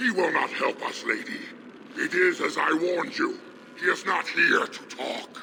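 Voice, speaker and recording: Moderate pacing in a man's put-on character voice over clear background noise. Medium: machinima. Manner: aggressive.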